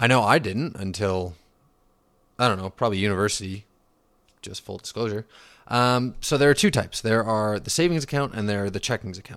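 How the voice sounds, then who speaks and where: Ordinary pitch variation and a moderate pace from a man with a fairly low pitch. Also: very clean recording, silent background. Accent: Western Canadian. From Canada, Vancouver region. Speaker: finance podcast host. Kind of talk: casual explainer. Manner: casual, filler-heavy.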